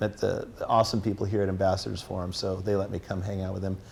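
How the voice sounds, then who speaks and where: A man with a General American accent and a fairly low pitch talks very fast with hardly any pauses. The room echo is audible. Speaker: teacher and apologetics speaker. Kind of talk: lecture. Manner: animated.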